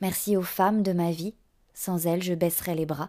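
A woman's dark, mellow tone at a fairly low pitch and fairly slow pace, on a very clean recording with a silent background. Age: 30s. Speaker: podcast host. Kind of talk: scripted narration.

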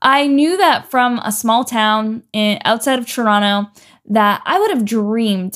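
A woman with a Canadian accent speaks in an ordinary speaking voice, fairly high-pitched with fairly even intonation, on a very clean recording with a silent background. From Canada, Ontario. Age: 20s. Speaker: podcast host. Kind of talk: solo podcast monologue.

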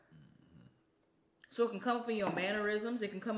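Over noticeable background noise, a woman speaks very fast. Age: 30s. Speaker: podcast co-host. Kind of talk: casual chat.

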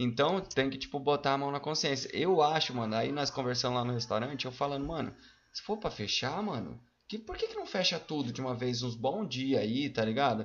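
Noticeable background noise sits behind a man's fairly high voice. His pitch varies in an ordinary way. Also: fairly quick pace. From Paraná, Brazil (Mandaguaçu area). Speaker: cook and rapper. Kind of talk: casual chat.

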